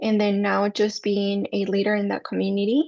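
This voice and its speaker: A woman speaks at a moderate pace. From Mexico City, Mexico; moved to US at 14. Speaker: mental health counselor. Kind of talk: workshop presentation.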